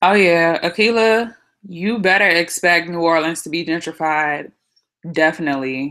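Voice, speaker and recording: A woman with a fairly low pitch and a bright, sharp, animated tone speaks at a moderate pace with ordinary pitch variation, on a very clean recording with a silent background. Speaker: beauty vlogger and student. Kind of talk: live-stream Q&A. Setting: live video stream.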